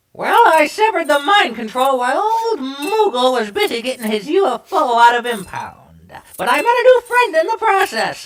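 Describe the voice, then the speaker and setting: A high-pitched, cartoonish character voice moves at a moderate pace with very wide pitch swings. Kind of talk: comic overacting. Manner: chatty, jokey.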